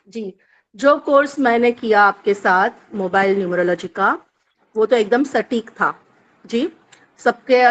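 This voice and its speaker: Recorded dry and close with no echo, a woman with a Bombay accent speaks at a fairly high pitch with ordinary pitch variation. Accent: Bombay Hindi. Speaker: course student. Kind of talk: testimony. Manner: hesitant.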